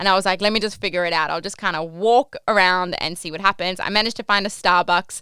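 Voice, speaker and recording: A very fast, animated delivery in an Australian accent, bright and sharp in tone, on a very clean recording with a silent background. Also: woman. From Australia, Port Macquarie NSW. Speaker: podcast host, cruise ship worker. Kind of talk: casual storytelling podcast. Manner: animated, chatty with many fillers.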